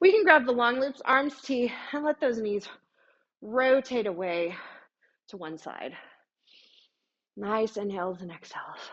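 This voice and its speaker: Big swings in loudness and lively intonation mark a woman's high voice as she speaks at a fairly slow pace with long, frequent pauses. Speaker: pilates instructor. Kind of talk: fitness class instruction. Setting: studio.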